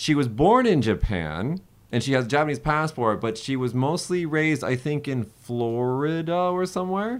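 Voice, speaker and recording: A normal speaking voice at a moderate pace, lively intonation, and a quiet background. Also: man, fairly high pitch for a man. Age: 30s. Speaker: podcast host. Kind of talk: casual chat.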